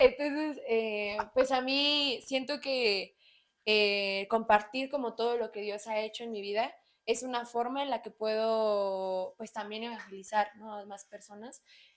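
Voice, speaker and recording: A central Mexican accent at a fairly slow pace, fairly even intonation and big swings in loudness, on a very clean recording with a silent background. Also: woman, fairly high pitch for a woman. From Mexico, Estado de México (Naucalpan). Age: 20s. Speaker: church worship team member. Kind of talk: testimony. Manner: hesitant, many fillers.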